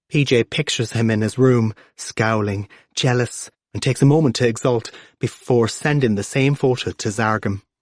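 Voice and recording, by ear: In a quiet setting, a passage is read aloud in a natural voice.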